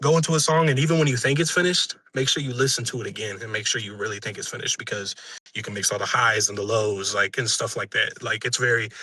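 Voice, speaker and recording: His pitch varies in an ordinary way. The man speaks at a very fast pace. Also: medium pitch for a man. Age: 20s. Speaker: musician. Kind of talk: interview. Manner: halting.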